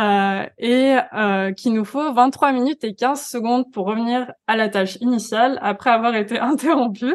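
A woman talks at a fairly slow pace, her high pitch showing ordinary variation. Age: 20s. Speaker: digital wellbeing coach. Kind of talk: podcast interview.

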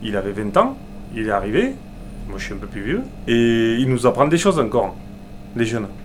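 A man's medium-pitched voice with ordinary pitch variation, plus audible room echo. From Aveyron, France. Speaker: butcher. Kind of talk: interview.

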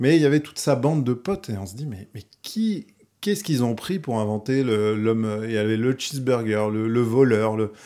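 A man's dark, mellow voice at medium pitch and moderate pace, with big swings in loudness. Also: ordinary pitch variation, very clean recording, silent background. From Paris region, France. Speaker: illustrator. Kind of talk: casual chat. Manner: halting.

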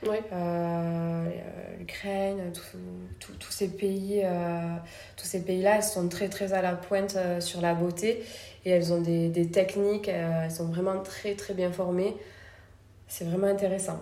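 A soft-spoken woman with a medium pitch talks at a very slow pace in a monotone, flat intonation, leaving long, frequent pauses, with audible room echo and noticeable background noise. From France, Toulouse. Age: 30s. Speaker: beauty studio founder and trainer. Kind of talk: interview conversation. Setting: in her beauty studio. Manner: soft-spoken and smiling.

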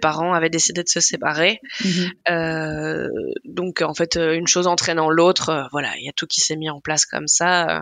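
Fairly low-pitched woman with vocal fry, moderate pace, fairly even intonation, and a dry, close sound with no echo. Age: 30s. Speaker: food content creator and blogger. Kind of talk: casual chat.

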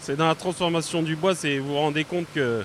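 This is an unremarkable speaking voice moving at a fairly quick pace with fairly even intonation. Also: man. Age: 30s. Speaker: sawmill worker. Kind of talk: interview.

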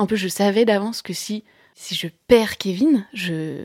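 Someone speaks at a fairly slow pace in a very clean recording with a silent background and a dry, close sound with no echo. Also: woman. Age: 30s. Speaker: novelist. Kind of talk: personal testimony. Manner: halting.

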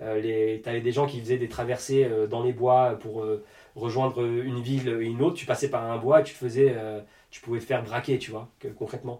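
A man's moderately paced speech, monotone and flat, amid noticeable background noise. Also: medium pitch for a man, big swings in loudness. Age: 30s. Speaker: dance school director and energy therapist. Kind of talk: casual interview.

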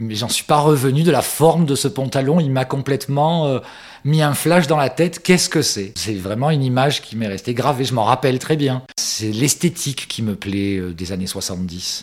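Using a normal speaking voice, a man talks at a moderate pace and medium pitch with lively intonation. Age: 50s. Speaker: vintage enthusiast. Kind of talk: interview testimony.

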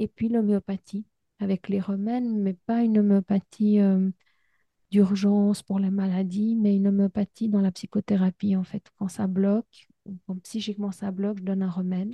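Her voice is dark, mellow and somewhat breathy, at a medium pitch, as this woman speaks in a monotone, flat way at a moderate pace. The sound is dry and close with no echo, on a very clean recording with a silent background. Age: 50s. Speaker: psychologist and podcast host. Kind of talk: interview.

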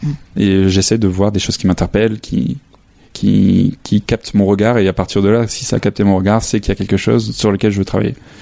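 Speaking at a fairly quick pace, a man keeps a fairly low pitch with ordinary pitch variation. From northern France, near Lille. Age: 30s. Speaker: photographer. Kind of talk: interview. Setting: home studio. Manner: halting.

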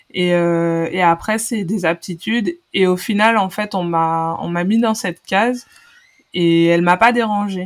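An unremarkable speaking voice from a woman, medium in pitch for a woman, fairly slow, with intonation that stays fairly even. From Guadeloupe. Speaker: former volleyball player and pharmacist. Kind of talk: casual interview.

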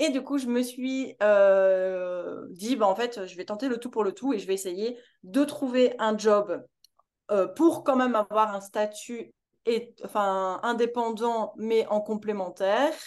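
Speaking at a very slow pace, the woman has a fairly high pitch. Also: ordinary pitch variation. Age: 20s. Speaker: entrepreneur. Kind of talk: casual chat.

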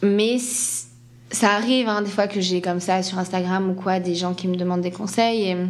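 A woman talks at a moderate pace in a medium-pitched, monotone, flat voice. Noticeable background noise and audible room echo fill the recording. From France, Landes (Atlantic coast). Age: 30s. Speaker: ballet dancer. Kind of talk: interview.

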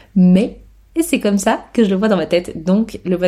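Her tone is dark and mellow, and somewhat breathy. The woman keeps a fairly even intonation. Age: 30s. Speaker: podcast host, photographer. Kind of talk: casual solo monologue. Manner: casual, hesitant with fillers.

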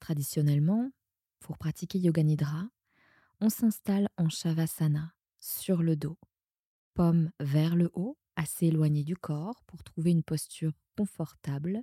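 A woman's fairly low, somewhat breathy voice at a fairly slow pace with long, frequent pauses, ordinary pitch variation, and a dry, close sound with no echo in a very clean recording over a silent background. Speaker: yoga nidra teacher and podcast creator. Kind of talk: guided meditation (Yoga Nidra). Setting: audio session meant to be heard lying down, at night. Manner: slow, soothing, calm; repetitive, soft-spoken, with long pauses.

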